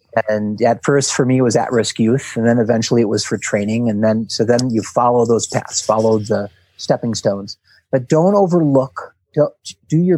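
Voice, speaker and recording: A man with an American accent, medium pitch, dark and mellow tone, ordinary pitch variation and moderate pace, in a dry, close sound with no echo. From US Midwest, Milwaukee, Wisconsin. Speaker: team-building trainer and author. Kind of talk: casual interview.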